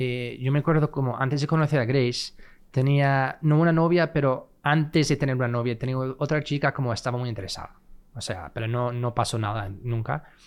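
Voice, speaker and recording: With an English accent, a man talks at a fairly quick pace and ordinary pitch variation, in a very clean recording with a silent background. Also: medium pitch for a man. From California, US (Fresno). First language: English (speaking Spanish). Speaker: podcast guest, married man. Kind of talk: casual chat.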